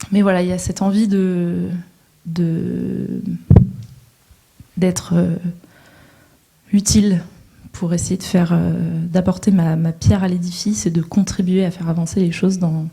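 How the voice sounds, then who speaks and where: Speaking at a fairly slow pace, a woman with a fairly low voice keeps her intonation fairly even and leaves long, frequent pauses. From northern France, coast. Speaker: social entrepreneur, panelist. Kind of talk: panel talk. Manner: hesitant, many fillers.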